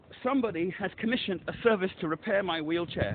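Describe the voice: Fairly quick and high-pitched, a man speaks with lively intonation.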